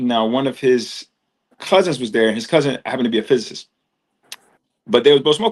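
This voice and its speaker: Speaking at a very fast pace yet with long, frequent pauses, a man holds a medium pitch. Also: ordinary pitch variation. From US Northeast, Trenton, New Jersey. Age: 40s. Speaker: yoga and meditation teacher. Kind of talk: casual interview chat. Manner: casual, slangy.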